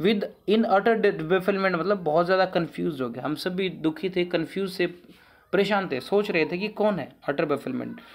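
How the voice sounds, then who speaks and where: Delivered at a moderate pace, the speech has music in the background. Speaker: English teacher. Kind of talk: lecture.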